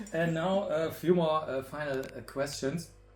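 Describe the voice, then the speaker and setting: Very slowly, a man speaks in a fairly high, somewhat breathy voice. His pitch variation is ordinary. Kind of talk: casual interview talk to camera.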